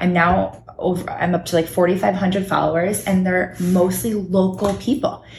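Over noticeable background noise, a woman with an American accent speaks at a fairly slow pace and medium pitch, with monotone, flat intonation and very even loudness. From Connecticut, Fairfield County (Norwalk). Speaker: small business owner. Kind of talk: casual chat. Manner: talkative.

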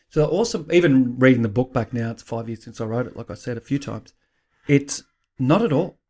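A man with an Australian accent speaks at a fairly quick pace in a dark, mellow tone. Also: medium pitch for a man, ordinary pitch variation, big swings in loudness. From Australia, Queensland. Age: 50s. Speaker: author and life coach, former police officer. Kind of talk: interview.

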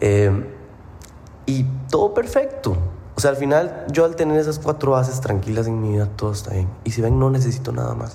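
With audible room echo, a man talks at a moderate pace. His pitch is medium and his intonation lively. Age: 20s. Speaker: fitness coach and podcast host. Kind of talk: casual monologue.

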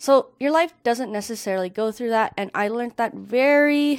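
A woman talks at a moderate pace with lively intonation. It is a normal speaking voice. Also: very clean recording, silent background. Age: 20s. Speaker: podcast host. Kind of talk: unscripted solo monologue. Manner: casual, filler-heavy.

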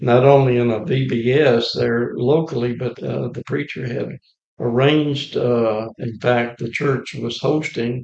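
A man with an Alabama accent talks at a fairly slow pace, his medium-pitched voice fairly even in intonation. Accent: US Southern (Alabama). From Alabama, Lawrence County. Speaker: retired volunteer church evangelist. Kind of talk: casual interview.

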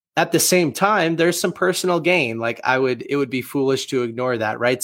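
A man with an American accent, a plain, everyday voice, medium pitch, ordinary pitch variation and a fairly quick pace. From US Northeast, Boston area. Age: 20s. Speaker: author and marketing agency founder. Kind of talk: interview conversation.

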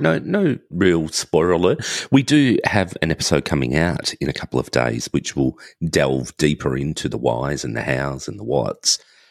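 A man with an Australian accent talks at a moderate pace in a very deep, low pitch, with vocal fry and lively intonation. The sound is dry and close, without any echo. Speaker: podcaster, former pastry chef. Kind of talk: casual chat. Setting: video call.

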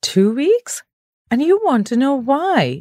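A high-pitched, female-sounding put-on character voice at a fairly slow pace, with very wide pitch swings. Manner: incredulous.

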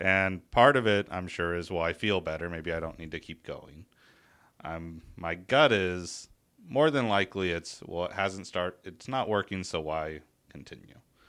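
This man has a very deep, low pitch with ordinary variation and an American accent. His tone is bright and sharp, and the recording is very clean with a silent background. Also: moderate pace. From United States. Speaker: co-host.

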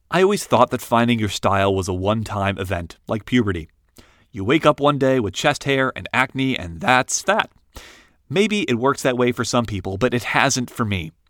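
In an American accent, a man with an ordinary speaking voice talks at a moderate pace and medium pitch with lively intonation, the sound dry and close with no echo in a very clean recording with a silent background. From rural Ohio, US Midwest. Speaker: writer reading his own blog post. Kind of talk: reading aloud.

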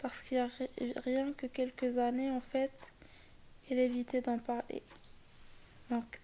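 A woman speaks in a high pitch with monotone, flat intonation. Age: 20s. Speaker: photographer. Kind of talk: casual chat. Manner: halting.

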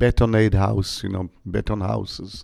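A man speaks at a fairly slow pace in a dark, mellow tone with vocal fry. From Israel. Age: 60s. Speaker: author and tour guide. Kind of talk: interview. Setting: at home.

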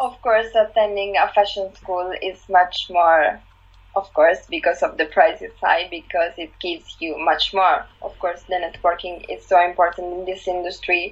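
A woman with an Italian accent speaks at a moderate pace, with big swings in loudness. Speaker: fashion website founder. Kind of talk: casual chat.

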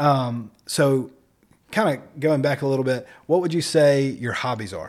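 A man's plain, everyday voice, fairly high-pitched, at a fairly slow pace with ordinary pitch variation. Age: 30s. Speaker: podcast co-host. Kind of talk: casual chat.

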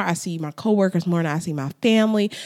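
A woman with an ordinary speaking voice talks at a fairly quick pace and a fairly low pitch. The sound is dry and close, without echo. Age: 20s. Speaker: podcast host. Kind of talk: casual monologue. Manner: conversational, filler-heavy.

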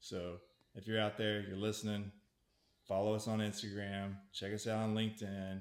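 A man talks at a fairly low pitch and a moderate pace. His intonation stays monotone and flat. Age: 40s. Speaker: marketing content producer. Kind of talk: casual interview chat.

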